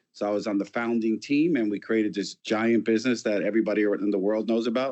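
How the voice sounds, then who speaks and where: Someone with a New York accent talks at a very fast pace. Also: man. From New York City. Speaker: company founder and CEO. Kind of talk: interview.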